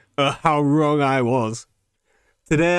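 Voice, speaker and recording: In a British accent, a man talks. His pitch is fairly high. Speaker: podcast host. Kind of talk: angry rant. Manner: indignant, incredulous, repeating lines for emphasis; sarcastic, sweary, mimicking voices.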